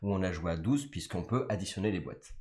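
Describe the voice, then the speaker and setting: Talking at a very fast pace, a man with a French accent uses a fairly low pitch. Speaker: board game designer. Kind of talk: game presentation. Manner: hesitant, many fillers.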